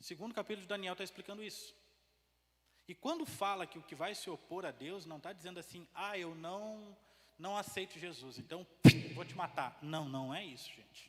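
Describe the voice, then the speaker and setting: A man speaks at a moderate pace. His voice is high-pitched. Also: ordinary pitch variation. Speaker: preacher. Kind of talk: sermon. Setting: church.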